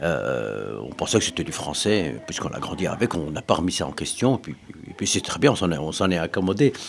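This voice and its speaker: A man with a very deep, low pitch speaks at a fairly quick pace, his pitch swinging very widely. Noticeable background noise runs underneath. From Brussels, Belgium (Moroccan family). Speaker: interviewee. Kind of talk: interview. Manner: halting.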